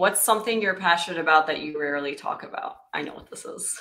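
Over a quiet background, a woman speaks in a normal speaking voice, her pitch fairly low with ordinary pitch variation. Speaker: host's wife reading listener questions. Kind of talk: reading aloud.

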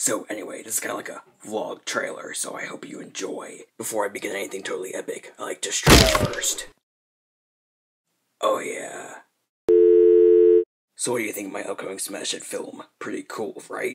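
Raspy cartoonish character voice from a man, moderate in pace with long, frequent pauses. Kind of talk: parody vlog to camera.

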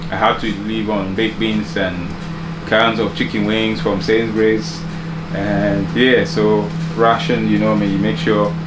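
Loud background noise fills the recording. A man talks through it at a moderate pace. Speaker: home vlogger. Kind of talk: casual vlog chat. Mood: relaxed, grateful, smiling. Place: kitchen. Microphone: phone near.

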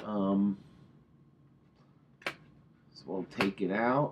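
A man's fairly even intonation against light background noise. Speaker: product reviewer. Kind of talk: casual product review vlog. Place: home room. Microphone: webcam.

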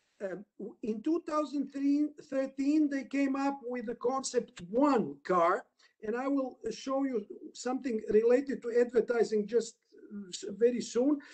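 In a Croatian accent, a man speaks very slowly at an extremely high pitch with ordinary pitch variation against a quiet background. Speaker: lawyer, panelist; lawyer presenting his country's market. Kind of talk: webinar presentation. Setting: video call. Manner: halting. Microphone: video call.

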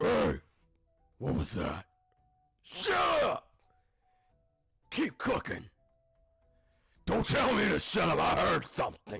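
A man speaks slowly-ish in a raspy, put-on character voice, leaving long, frequent pauses at a fairly slow pace. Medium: actual play. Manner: gruff, bickering.

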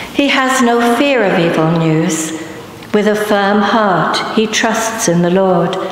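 Amid light background noise and strong room echo, the speaker goes at a very slow pace. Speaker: lector, congregation member. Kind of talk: scripture reading aloud. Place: church. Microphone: podium.

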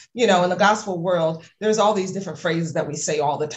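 Speaking very fast, a woman talks with an American accent. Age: 40s. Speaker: music marketing coach. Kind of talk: casual interview chat. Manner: hesitant, many fillers.

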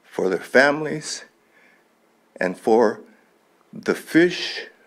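A man with an American accent speaks very slowly with vocal fry. The background is quiet. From Lake County, California; California. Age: 70s. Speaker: public commenter. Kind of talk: public comment at county board meeting; public comment speech. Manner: halting. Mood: proud, earnest. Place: hall. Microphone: podium.

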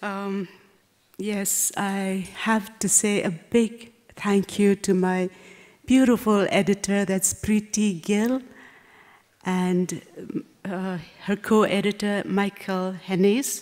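A woman's medium-pitched, very slow speech with fairly even intonation. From Nagaland, India. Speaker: novelist. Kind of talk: reading aloud; reading aloud and acceptance speech. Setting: stage with audience. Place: hall. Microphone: podium.

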